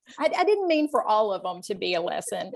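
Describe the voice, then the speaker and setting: A woman with a Texan accent, fairly high in pitch, at a fairly quick pace. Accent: Texas Southern US. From Northeast Texas. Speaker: romance author interviewing a guest. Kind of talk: casual interview.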